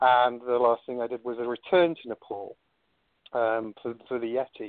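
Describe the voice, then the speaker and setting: Medium-pitched male speech in a British accent. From United Kingdom. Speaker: cryptozoologist and explorer. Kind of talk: interview.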